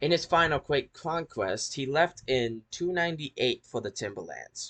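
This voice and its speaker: Fairly high for a man, this voice carries vocal fry and lively intonation. He goes at a moderate pace, and the sound is dry and close with no echo. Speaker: history video creator. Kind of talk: casual outro; informal history narration. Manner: halting with repetitions.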